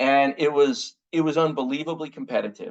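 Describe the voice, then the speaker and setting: A man with an American accent talks in a plain, everyday voice. His pitch is fairly high, and his intonation is lively. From United States. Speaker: communications consultant and speaker. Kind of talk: webinar presentation. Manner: conversational with frequent fillers and restarts.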